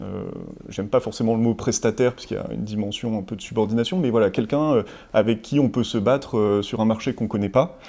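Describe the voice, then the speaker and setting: A man speaks in a dark, mellow tone. His pitch varies in an ordinary way. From Savoie, France. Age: 30s. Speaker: tech entrepreneur giving client testimonial. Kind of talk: interview testimonial. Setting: studio set. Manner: hesitant, many fillers and repetitions. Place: office. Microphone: lapel.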